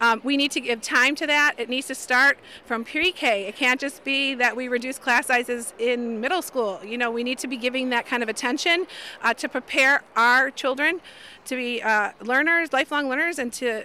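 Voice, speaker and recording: In an American accent, a woman speaks with a raised, projected voice at a fairly quick pace. Her pitch is high, with ordinary variation and a bright, sharp tone. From Chicago. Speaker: special education teacher and union delegate. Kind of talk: interview on a picket line.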